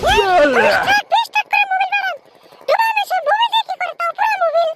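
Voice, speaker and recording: In a cartoonish character voice, a man talks at a very fast pace, squeaky and at an extremely high pitch. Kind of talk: comic cartoon acting. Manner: naive, wondering.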